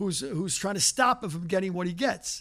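Recorded very cleanly against a silent background, a man talks at a very fast pace with ordinary pitch variation. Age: 70s. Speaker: writing teacher and comedian. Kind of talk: lecture. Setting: stage with audience.

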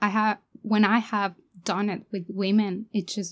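A woman with a Spanish accent speaks at a fairly slow pace and medium pitch. Her intonation is monotone and flat. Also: very clean recording, silent background. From Mexico. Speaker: documentary filmmaker. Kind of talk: interview.

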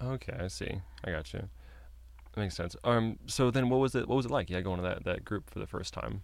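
A man with a very deep, low voice and vocal fry speaks at a fairly quick pace, his pitch swinging very widely. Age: 20s. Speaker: podcast host and comedian. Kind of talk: scripted narration; casual interview chat.

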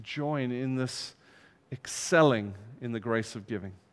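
A man at a fairly slow pace. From from abroad, outside the UK. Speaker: visiting pastor. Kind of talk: sermon. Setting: church.

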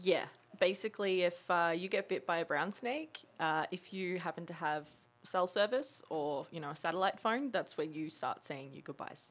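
A woman with an Australian accent, fairly low in pitch, at a moderate pace, with ordinary pitch variation. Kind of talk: casual chat.

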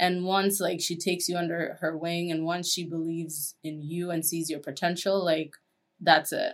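A woman speaks at a moderate pace with a fairly low pitch and a flat, monotone delivery. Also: very clean recording, silent background. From Kenya. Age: 20s. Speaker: advertising account executive. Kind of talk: casual interview.

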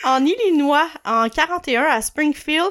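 A Quebec accent on a very clean recording with a silent background. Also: woman. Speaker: podcast co-host. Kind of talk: casual chat.

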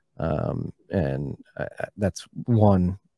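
There is vocal fry in this man's dark, mellow voice, which shows ordinary pitch variation. The sound is dry and close, with no echo. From Philadelphia, US. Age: 30s. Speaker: bitcoin podcaster. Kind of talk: casual interview.

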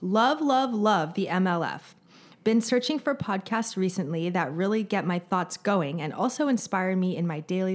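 In a very clean recording with a silent background, a woman speaks at medium pitch and moderate pace. She has a normal speaking voice with lively intonation. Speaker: podcast co-host. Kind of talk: casual chat.

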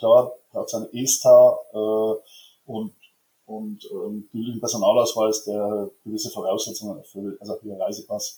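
A man talks at a fairly slow pace. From Franconia, Bavaria (near Schweinfurt). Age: 50s. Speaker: fan club board member and insurance broker. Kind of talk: casual interview. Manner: hesitant, many filler sounds.

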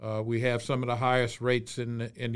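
Someone with a Louisiana accent speaks at a fairly quick pace on a very clean recording with a silent background. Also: man. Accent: Louisiana Southern US. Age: 60s. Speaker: state senator. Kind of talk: interview.

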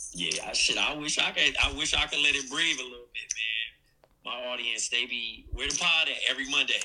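A man with an American accent speaks at a moderate pace and medium pitch, with ordinary pitch variation and hardly any pauses. Noticeable background noise runs underneath. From Compton, Los Angeles, US West Coast. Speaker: podcaster, call-in guest. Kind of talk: casual chat.

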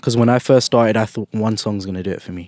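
A man with a London accent speaks in a flat monotone. The sound is dry and close with no echo, on a very clean recording with a silent background. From South London, England. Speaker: musician and producer. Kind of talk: casual interview. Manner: casual, laughs often.

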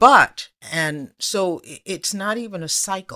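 In a very clean recording with a silent background, a woman speaks. Her tone is bright and sharp, with ordinary pitch variation. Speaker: radio host, journalist and author. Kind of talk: interview conversation.

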